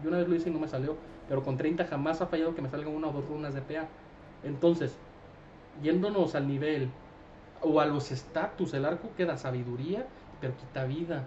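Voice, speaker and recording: Very fast speech from a man, fairly even in intonation, over light background noise. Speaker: gaming streamer. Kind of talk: casual game commentary. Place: home room.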